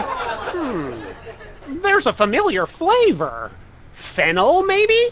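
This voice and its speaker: Put on as a character, this high-pitched voice moves very slowly over clear background noise. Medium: video game. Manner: gleeful, impish.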